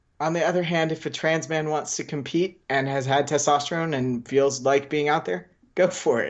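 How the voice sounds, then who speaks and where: A moderate pace with hardly any pauses. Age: 40s. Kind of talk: casual interview conversation.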